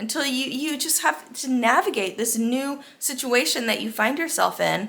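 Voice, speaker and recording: A woman with an American accent speaks at a moderate pace. Her pitch is high, and it swings very widely. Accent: American accent when speaking Spanish. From United States. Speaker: expat vlogger. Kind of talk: casual monologue.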